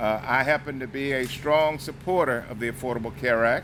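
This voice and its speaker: A man with an American accent, medium pitch, and fairly even intonation, over noticeable background noise. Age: 60s. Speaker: congressman. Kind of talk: public speech. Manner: halting.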